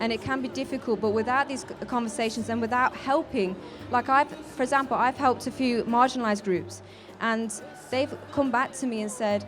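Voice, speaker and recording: A fairly quick pace amid noticeable background noise. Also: woman. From English Midlands, Leicester. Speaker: activist. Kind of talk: interview. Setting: live event.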